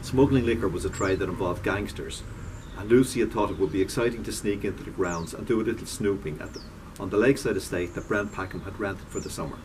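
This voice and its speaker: Speaking at a very fast pace, a man with a fairly low pitch and ordinary pitch variation is heard over noticeable background noise. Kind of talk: reading aloud from a novel. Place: garden. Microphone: camera far.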